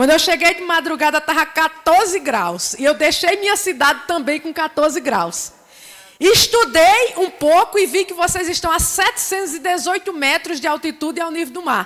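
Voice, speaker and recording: With a Paraíba accent and an animated tone, a woman speaks at an extremely high pitch and a moderate pace, with ordinary pitch variation over noticeable background noise. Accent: Northeastern Paraíba. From Northeast Brazil, Paraíba (rural Areia). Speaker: community entrepreneur, invited speaker. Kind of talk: seminar talk.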